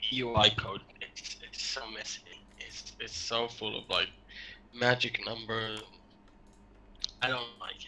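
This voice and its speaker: A man speaks at a fairly slow pace in a monotone, flat intonation at medium pitch, with big swings in loudness and long, frequent pauses. Noticeable background noise runs underneath. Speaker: game developer. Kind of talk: casual chat while coding. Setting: voice call on Discord.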